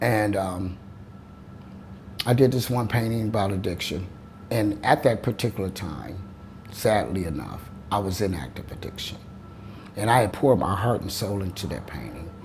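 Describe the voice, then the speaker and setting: Noticeable background noise and audible room echo surround a man with an American accent and a fairly low pitch. He moves at a moderate pace but takes long, frequent pauses. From Ohio, Toledo. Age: 60s. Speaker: painter. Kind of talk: interview. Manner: halting.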